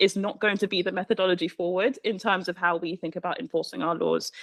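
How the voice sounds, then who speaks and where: Speaking extremely fast, a woman uses a mid-range pitch that moves in a normal way. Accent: British. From Britain. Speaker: panelist, civil society advocate. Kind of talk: panel discussion.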